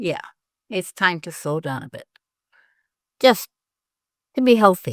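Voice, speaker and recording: Recorded very cleanly against a silent background, a woman talks at a fairly slow pace with long, frequent pauses and very wide pitch swings, the sound dry and close with no echo. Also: medium pitch for a woman, big swings in loudness. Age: 70s. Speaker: hypnotherapist. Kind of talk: interview chat.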